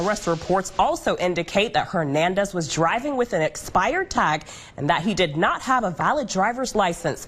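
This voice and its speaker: A woman speaks at a medium pitch and a fairly quick pace, her pitch swinging very widely while her loudness stays very even, with music playing in the background. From United States, Cincinnati Ohio. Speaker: TV news reporter and anchor. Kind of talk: TV news reporting. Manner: brisk, professional broadcast delivery.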